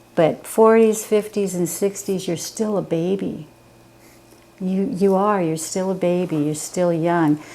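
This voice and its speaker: Using an unremarkable speaking voice at a medium pitch, a woman talks at a fairly slow pace with fairly even intonation. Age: 60s. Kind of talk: casual chat.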